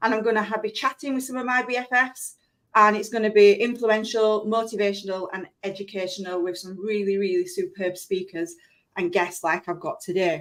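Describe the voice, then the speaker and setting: A woman's medium-pitched voice with a Yorkshire accent, fairly quick pace and ordinary pitch variation. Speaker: live stream show host. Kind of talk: live stream interview. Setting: live stream video. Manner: chatty, fast.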